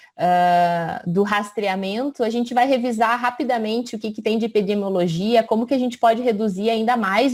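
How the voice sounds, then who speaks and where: A woman's plain, everyday voice with ordinary pitch variation. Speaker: physician. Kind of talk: lecture.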